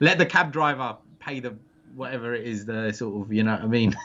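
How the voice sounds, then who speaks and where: A man's medium-pitched voice in a British accent, with fairly even intonation. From England. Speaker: adventure travel business owner. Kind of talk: interview. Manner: halting.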